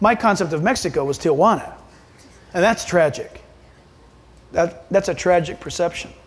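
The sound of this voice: This man's voice is pitched high. He keeps a moderate pace with lively intonation.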